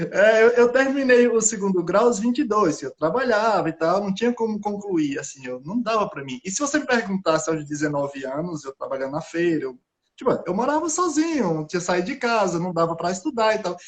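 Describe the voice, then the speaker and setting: Swinging very widely in pitch, a man with a high voice talks at a fairly quick pace with hardly any pauses. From Brazilian Northeast. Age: 30s. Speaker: scientist. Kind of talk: casual chat. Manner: halting.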